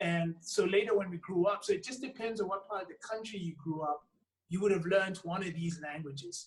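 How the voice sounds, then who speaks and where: A man speaks with a Zulu accent. His pace is fairly quick. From South Africa. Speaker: actor. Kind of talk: interview.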